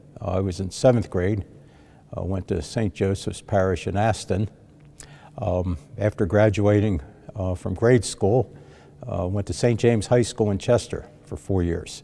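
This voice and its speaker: A man with a Philadelphia accent speaks at a moderate pace, taking long, frequent pauses. His dark, mellow tone sits at a fairly low pitch with fairly even intonation. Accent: Philadelphia-area US. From South Jersey / Delaware County, Pennsylvania. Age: 70s. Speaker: retired priest. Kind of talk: interview, life story.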